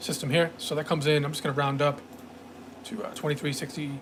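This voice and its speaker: At a fairly quick pace, a man talks at a fairly high pitch with ordinary pitch variation against noticeable background noise. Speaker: day trading instructor. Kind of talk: sales pitch; live trading stream commentary. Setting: live stream. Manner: fast; many fillers, hesitant.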